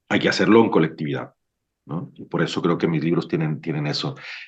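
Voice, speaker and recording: The speaker is a man with a very deep, low pitch. He talks at a fairly quick pace. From Mexico, Sinaloa. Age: 40s. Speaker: novelist. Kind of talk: book club discussion. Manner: hesitant, many repetitions.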